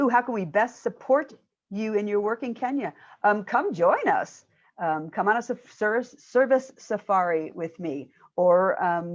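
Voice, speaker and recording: Here is a woman with a normal speaking voice. Her pitch sits fairly high. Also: fairly slow pace. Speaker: minister doing charity work in Kenya. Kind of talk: conference Q&A talk.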